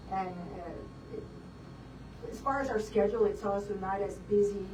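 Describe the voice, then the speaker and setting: With an American accent, a woman speaks at a moderate pace. Room echo is audible, and there is noticeable background noise. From South Texas (Beeville, Bee County). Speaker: optometrist. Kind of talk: interview.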